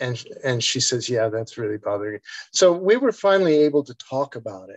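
In an ordinary speaking voice, a man talks at a fairly quick pace with lively intonation and a dry, close sound with no echo. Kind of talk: casual chat, personal story. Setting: video call.

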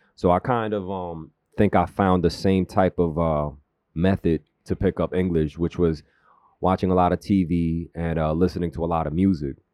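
A man with a New York accent speaks at a very deep, low pitch in a dark, mellow tone, at a moderate pace with fairly even intonation, in a dry, close sound with no echo against a quiet background. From Queens, New York (born South Korea). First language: Korean. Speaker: filmmaker and creative. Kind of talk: casual interview chat. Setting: radio studio. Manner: laid-back, slangy.

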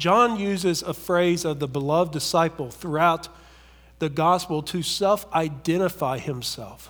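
With an Appalachian accent, a man talks at a fairly slow pace in a high pitch, his pitch varying in an ordinary way. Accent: Appalachian American. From US South, southern West Virginia. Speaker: pastor. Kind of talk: sermon.

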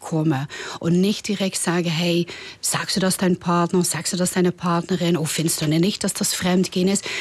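With a Dutch accent, a woman speaks at a moderate pace and a medium pitch with fairly even intonation. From Netherlands. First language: Dutch (speaking German). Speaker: tantra masseuse. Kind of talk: interview. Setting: studio.

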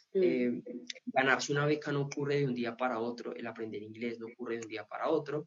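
This is a normal speaking voice moving at a fairly quick pace with fairly even intonation. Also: man. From Colombia. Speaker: scholarship consultant. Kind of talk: interview.

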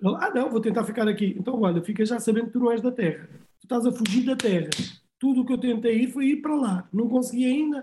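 A man's extremely high pitch and dark, mellow tone, very fast, very even in loudness, with ordinary pitch variation. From Almada, Portugal, Cape Verdean family. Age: 40s. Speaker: artist manager. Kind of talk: interview, casual chat. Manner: halting, many repetitions.

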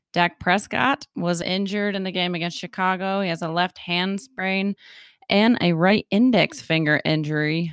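A very clean recording with a silent background, dry and close with no echo, and fairly even intonation. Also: woman. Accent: slight Appalachian. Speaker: podcast co-host. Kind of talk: casual chat.

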